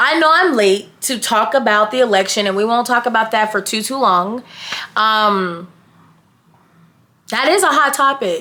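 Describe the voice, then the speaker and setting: A woman with an American accent speaks in a fairly high pitch with a bright, sharp tone and lively intonation. Her pace is moderate, broken by long, frequent pauses. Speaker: YouTuber. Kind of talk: casual vlog chat. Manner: matter-of-fact.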